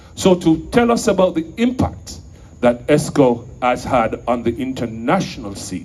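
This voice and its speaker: A man of medium pitch speaks with lively intonation and vocal fry. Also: fairly slow pace. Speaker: event emcee. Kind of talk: stage introduction. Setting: stage with audience. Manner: formal.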